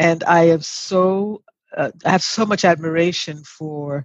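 An unremarkable speaking voice from a woman, fairly low in pitch, with fairly even intonation. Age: 60s. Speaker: mother and grandmother guest. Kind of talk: casual interview chat.

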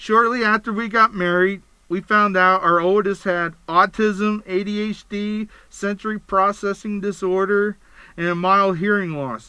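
A man with an American accent speaks at a fairly slow pace in a high, bright, sharp tone, his voice raised and projected. His intonation stays fairly even on a very clean recording with a silent background. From Pennsylvania. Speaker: podcast host. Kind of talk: podcast monologue. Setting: studio.

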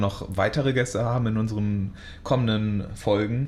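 The speech carries fairly even intonation, with audible room echo in the recording. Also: man. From Münster, Westphalia, Germany. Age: 20s. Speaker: podcast co-host. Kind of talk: casual chat.

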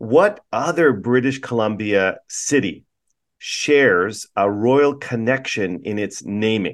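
An ordinary speaking voice from a man at medium pitch, with lively intonation. The background is quiet. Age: 50s. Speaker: podcast host and city councillor. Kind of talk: interview; quiz game hosting.

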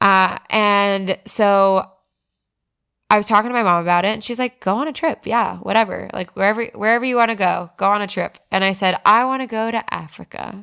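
Using an unremarkable speaking voice, a woman with an American accent talks at a fairly quick pace and medium pitch with fairly even intonation, in a very clean recording with a silent background. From South Florida. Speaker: musician. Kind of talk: casual chat.

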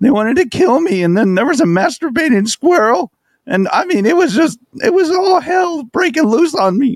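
This man's voice is extremely high in pitch. He speaks at a moderate pace. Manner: timid, rambling, apologetic.

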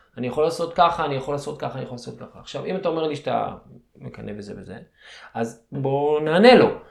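Very fast speech with vocal fry, lively intonation and big swings in loudness, in audible room echo. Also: man, fairly high pitch for a man. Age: 40s. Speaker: martial arts coach. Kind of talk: guided meditation; interview.

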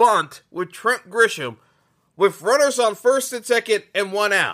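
A man in a raised, projected voice speaks at an extremely high pitch with ordinary pitch variation, on a very clean recording with a silent background. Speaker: sports podcast host. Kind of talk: solo sports rant. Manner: animated; halting with repeated stammers.

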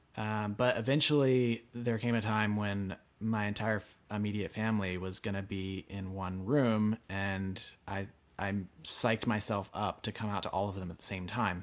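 With an American accent, a man speaks at a moderate pace in a fairly low pitch. He has a plain, everyday voice and fairly even intonation. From rural Pennsylvania, US. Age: 20s. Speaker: artist. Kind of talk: interview storytelling.

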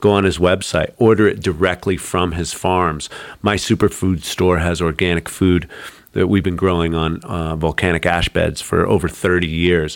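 The man's pitch is very deep and low, and his intonation is fairly even. He talks at a moderate pace on a very clean recording with a silent background. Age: 50s. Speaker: holistic health author and former model. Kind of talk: casual interview chat.

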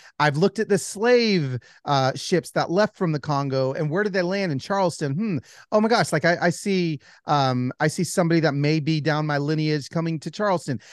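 A man with an American accent talks at a fairly quick pace in an unremarkable speaking voice, pitched fairly high. His pitch variation is ordinary, and the sound is dry and close with no echo over a quiet background. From Los Angeles, then Atlanta. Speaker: author. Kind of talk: interview. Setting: video call.

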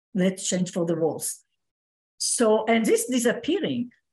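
Lively intonation marks this woman's somewhat breathy voice. She speaks at a fairly slow pace. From Israel. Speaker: community member participant. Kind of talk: group discussion comment. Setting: video call. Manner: halting.

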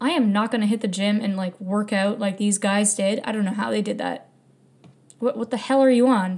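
Here a woman speaks at a fairly high pitch in an animated tone. Her voice is somewhat breathy. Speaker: podcast host. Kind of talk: solo podcast monologue, casual chat. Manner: animated, laughs often.

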